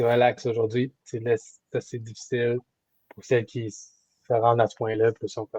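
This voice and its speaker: Speaking in a Quebec accent, a man uses a medium pitch and a dark, mellow, somewhat breathy tone with monotone, flat intonation, recorded dry and close with no echo. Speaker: kinesiologist coach. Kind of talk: coaching consultation. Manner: halting, with repetitions.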